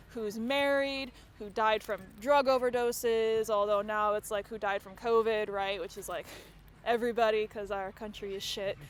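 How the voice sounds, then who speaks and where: Her loudness swings widely as a woman with an American accent talks in a plain, everyday voice, fairly high in pitch, with fairly even intonation at a moderate pace. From United States. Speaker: comedy MC. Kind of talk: stand-up. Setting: outdoor stage with audience.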